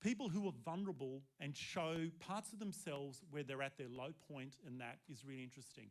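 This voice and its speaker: With an Australian accent, a man speaks at a fairly quick pace. His intonation is lively. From Australia, Sydney. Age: 60s. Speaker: seminar presenter, former nurse and cabaret performer. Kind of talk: seminar talk. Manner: casual, conversational.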